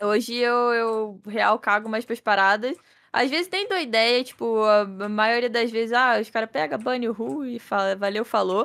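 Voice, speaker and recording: The woman's pitch sits fairly high. She talks at a moderate pace. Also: ordinary pitch variation. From Brazil, Petrópolis (Rio de Janeiro state). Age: 20s. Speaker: game streamer. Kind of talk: casual chat. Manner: talkative, animated.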